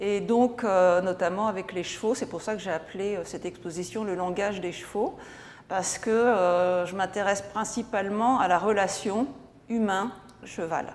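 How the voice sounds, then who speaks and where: Her intonation remains fairly even. The woman's pace is fairly slow. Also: medium pitch for a woman. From France. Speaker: painter and art teacher. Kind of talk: interview. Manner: hesitant, many fillers.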